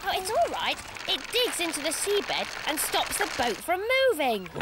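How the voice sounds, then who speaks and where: An extremely high, cartoonish character voice speaks at a moderate pace. Clear background noise runs underneath. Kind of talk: children's TV presenting. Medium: puppet show. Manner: enthusiastic, sing-song.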